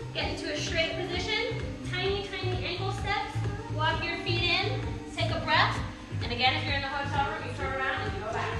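A woman talks at a fairly quick pace. Clear music plays in the background, and the room echo is audible. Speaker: fitness coach. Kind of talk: exercise class instruction. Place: gym. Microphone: camera far.

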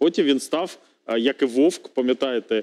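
A man's fairly high voice has a dark, mellow tone and moves at a moderate pace. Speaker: member of parliament; talk show guest. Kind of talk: TV political debate. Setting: TV studio. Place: studio. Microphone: headset.

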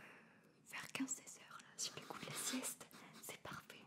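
Whispered words from a woman. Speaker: ASMR content creator. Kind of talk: interview answer. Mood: calm, warm, smiling. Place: studio. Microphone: studio mic.

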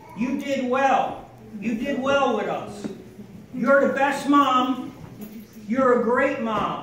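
Amid light background noise and audible room echo, a man with an extremely high pitch speaks in a monotone, flat way with long, frequent pauses. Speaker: family member giving a tribute. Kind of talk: birthday speech. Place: hall.

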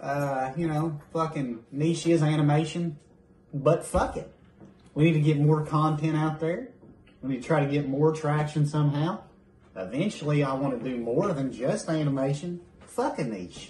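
A man's somewhat breathy voice at a moderate pace, with ordinary pitch variation and audible room echo. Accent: American. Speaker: YouTube creator, animator. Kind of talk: casual chat. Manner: animated.

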